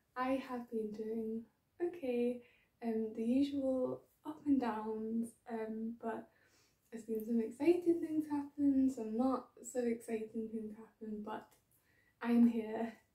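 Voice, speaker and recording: This woman talks at a very slow pace with fairly even intonation. The background is quiet, though room echo can be heard. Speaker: knitting podcaster. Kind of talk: casual vlog chat. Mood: cheerful, laughing. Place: home room. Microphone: phone near.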